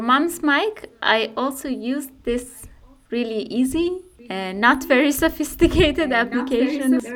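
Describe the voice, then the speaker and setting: A woman speaks with a Persian accent at a high pitch. Her intonation is lively. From Iran. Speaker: community radio maker. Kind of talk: interview. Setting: recording alone at home.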